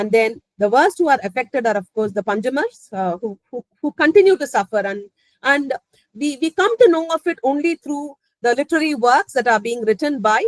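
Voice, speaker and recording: Dry and close with no echo, the voice comes in a Tamil accent at a fairly quick pace with very wide pitch swings. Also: woman, high pitch for a woman. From Chennai, Tamil Nadu, India. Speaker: professor. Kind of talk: academic talk. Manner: halting.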